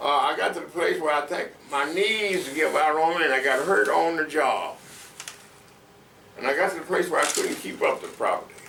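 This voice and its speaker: Moderately paced speech from a man, amid noticeable background noise and audible room echo. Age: 80s+. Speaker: longtime neighborhood resident. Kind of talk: oral history interview. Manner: halting with many fillers.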